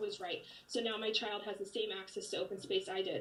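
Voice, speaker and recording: A woman with an American accent talks at a fairly quick pace and fairly even intonation over noticeable background noise. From Alpine, San Diego County, California. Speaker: community member speaking at public comment. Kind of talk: prepared public comment. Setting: video call. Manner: formal.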